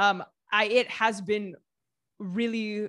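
In a very clean recording with a silent background, a woman with an American accent speaks at a medium pitch. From US Midwest, Southeast Ohio. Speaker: food writer and YouTuber. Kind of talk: interview.

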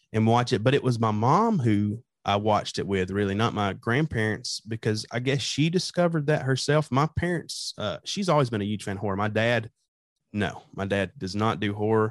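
In a dry, close recording with no echo and a quiet background, a man with a plain, everyday voice speaks at a moderate pace and medium pitch with ordinary pitch variation. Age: young. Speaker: horror podcast host. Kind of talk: casual interview chat.

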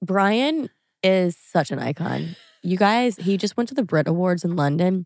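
Recorded dry and close with no echo, a woman with an American accent has an unremarkable speaking voice, medium in pitch, with lively intonation. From Louisiana, US South. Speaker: influencer. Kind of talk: casual chat.

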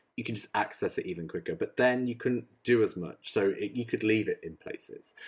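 A man speaks at a very fast pace. He has a British accent. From UK. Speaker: podcast co-host. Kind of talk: casual chat.

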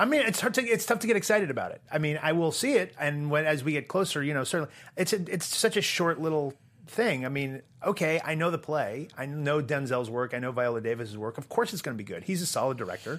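A fairly high-pitched man with an American accent, at a very fast pace with very wide pitch swings, on a very clean recording with a silent background. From US Northeast (Portland, Maine). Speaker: entertainment columnist. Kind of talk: casual chat.

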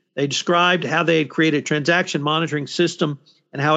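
Talking very fast, a man with a fairly high pitch keeps his intonation fairly even. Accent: American. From Texas. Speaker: podcast host, compliance commentator. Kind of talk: roundtable discussion.

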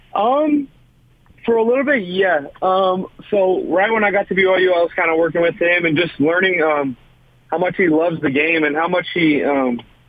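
Noticeable background noise sits behind a man speaking at a moderate pace. His pitch is high. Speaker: college football player. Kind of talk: radio interview. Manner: halting, many fillers.

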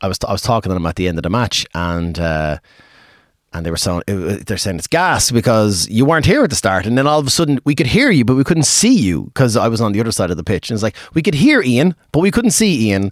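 Talking very fast in an Irish accent, a man holds a medium pitch while making very wide pitch swings. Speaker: pub and music venue owner. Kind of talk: casual interview chat.

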